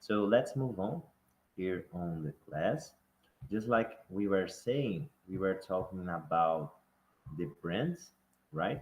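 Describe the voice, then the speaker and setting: Speaking at a very slow pace with long, frequent pauses, a man uses a very deep, low pitch and lively intonation. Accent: Brazilian. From Brazil. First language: Portuguese. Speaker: online course teacher. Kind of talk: online class lecture. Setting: YouTube live stream. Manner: halting, repetitive.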